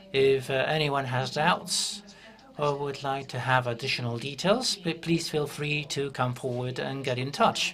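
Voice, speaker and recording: Against noticeable background noise and audible room echo, a man speaks with a fairly high pitch. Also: ordinary pitch variation, fairly slow pace. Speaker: government official. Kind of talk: conference presentation.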